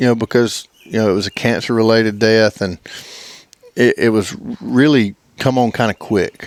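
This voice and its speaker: A man speaks in an Alabama accent at a moderate pace. The sound is dry and close, with no echo. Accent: Southern US (Alabama). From US South, Alabama. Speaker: duck club owner, hunter. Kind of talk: casual interview chat. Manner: halting, stammers.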